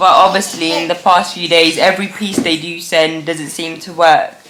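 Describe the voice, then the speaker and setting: A woman with a fairly low pitch talks amid noticeable background noise and audible room echo. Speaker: deaf vlogger with cochlear implant. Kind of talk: casual vlog chat. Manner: speaks differently to feel own voice vibration.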